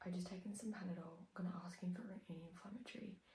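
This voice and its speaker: A woman's fairly low, somewhat breathy voice in an Australian accent, very fast and fairly even in intonation, with audible room echo. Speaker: vlogger, triathlete. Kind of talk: casual vlog. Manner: quiet.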